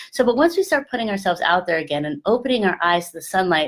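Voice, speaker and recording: A woman speaks very fast in a medium pitch with very wide pitch swings. Her tone is animated. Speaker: love and sex coach. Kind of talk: motivational talk to camera.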